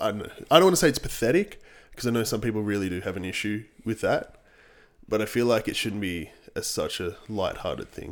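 A man speaks at a fairly quick pace with an Australian accent. The recording is very clean, with a silent background. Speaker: podcast co-host, fitness coach. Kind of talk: casual chat.

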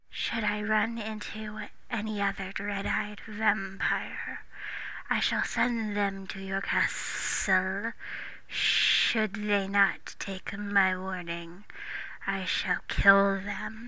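In a put-on character voice, a female-sounding speaker with a medium pitch for a woman growls out guttural, menacing words at a very slow pace over noticeable background noise.

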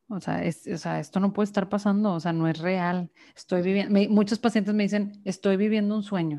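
Her dark, mellow tone sits at medium pitch as the woman speaks at a moderate pace with ordinary pitch variation. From Mexico, Monterrey, Nuevo León. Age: 20s. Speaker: psychologist. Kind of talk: casual interview conversation.

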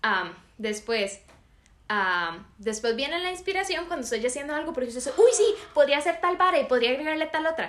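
A high-pitched woman at a fairly quick pace with very wide pitch swings. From Costa Rica, San José. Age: 18. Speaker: podcast co-host. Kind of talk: casual chat.

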